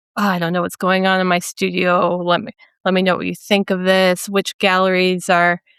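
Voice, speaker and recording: A woman with a Minnesotan accent speaks at medium pitch and a moderate pace in a monotone, flat intonation, with a dry, close sound with no echo and a quiet background. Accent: Minnesota. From US Midwest, central Minnesota. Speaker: painter. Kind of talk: interview conversation. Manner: halting, many fillers.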